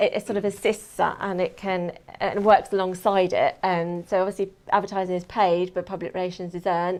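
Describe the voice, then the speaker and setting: A woman at medium pitch in a southern English accent, monotone and flat, at a fairly quick pace, on a very clean recording with a silent background. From England, Kent. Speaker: PR and media manager, former journalist. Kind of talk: talk to an audience. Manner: hesitant, many fillers.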